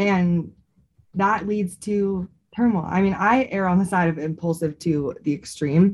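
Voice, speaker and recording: A somewhat breathy woman at a medium pitch, with ordinary pitch variation and a fairly slow pace. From San Francisco Bay Area. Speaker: podcast co-host. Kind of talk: casual chat.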